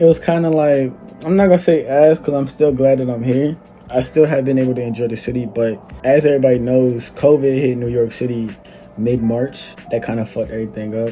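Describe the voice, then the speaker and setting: Over noticeable background noise, a man with an American accent speaks at a fairly quick pace, with medium pitch and ordinary pitch variation. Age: 20s. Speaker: YouTuber. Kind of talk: casual storytime vlog. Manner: casual, slangy.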